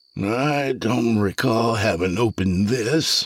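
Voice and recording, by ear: Using a put-on character voice, a man speaks at a fairly slow pace. His pitch stays medium.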